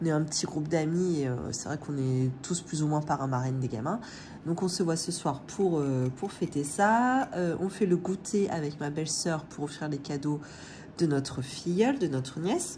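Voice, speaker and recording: A woman with a very deep, low pitch speaks at a moderate pace in a somewhat breathy voice with a dark, mellow tone. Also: ordinary pitch variation. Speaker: family budgeting vlogger. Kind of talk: casual vlog chat. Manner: hesitant, many filler sounds.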